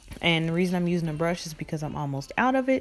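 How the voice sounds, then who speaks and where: A woman's fairly low voice over faint background music. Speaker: beauty vlogger. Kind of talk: makeup tutorial. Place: home room. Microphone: phone near.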